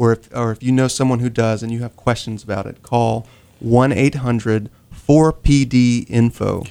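A man with a Southern US accent speaks at a medium pitch. His tone is dark and mellow, and his intonation is fairly even. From North Carolina (Rocky Mount). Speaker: social worker. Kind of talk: radio interview.

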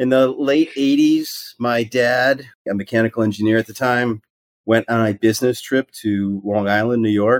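This man has an unremarkable speaking voice, a medium pitch, and fairly even intonation at a moderate pace. The sound is dry and close, with no echo. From Wisconsin, US Midwest. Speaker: investment banker. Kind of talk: interview.

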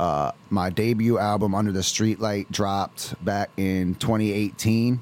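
A man speaks in a plain, everyday voice. His pitch is fairly low, with ordinary pitch variation. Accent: American. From Pennsylvania, Williamsport. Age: 20s. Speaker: rapper. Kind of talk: casual chat.

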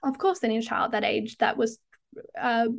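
A woman speaks with an Australian accent at a moderate pace. The background is quiet. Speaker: tantric hypnotherapist. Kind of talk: casual interview chat.

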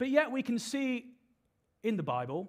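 Speaking with a British accent, a man swings his pitch very widely. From UK. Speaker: preacher. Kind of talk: sermon. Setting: church stage with audience.

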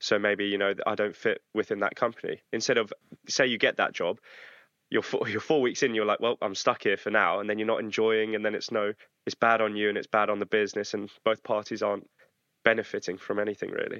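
A man with a fairly low pitch speaks at a fairly quick pace in a bright, sharp tone. His intonation is flat and monotone, and the sound is dry and close with no echo against a quiet background. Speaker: podcast co-host. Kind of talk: casual interview chat.

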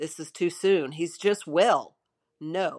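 A woman talks with fairly even intonation. The sound is dry and close, without any echo. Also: quiet background. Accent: Southern US. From US South, Shreveport, Louisiana. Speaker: pastor. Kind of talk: emotional personal testimony of her husband's sudden death. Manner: halting, repeating words under emotion; hushed, reverent storytelling.

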